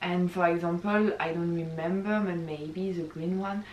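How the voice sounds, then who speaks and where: With noticeable background noise, a woman talks at a moderate pace and ordinary pitch variation. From France. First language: French. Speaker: YouTuber, exchange student. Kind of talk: casual vlog talk. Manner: hesitant, many fillers.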